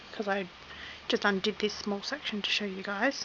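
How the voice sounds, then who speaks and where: A woman with an Australian accent and a medium pitch, amid noticeable background noise. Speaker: crochet hobbyist. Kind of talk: tutorial.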